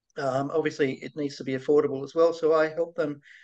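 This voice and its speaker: A man with an Australian accent speaks at a fairly high pitch, his intonation fairly even. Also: quiet background. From Australia, Blue Mountains near Sydney; New South Wales, Australia. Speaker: virtual CFO, finance consultant; guest. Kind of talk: interview, casual business chat. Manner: halting, many fillers and repetitions. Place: home room. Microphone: video call.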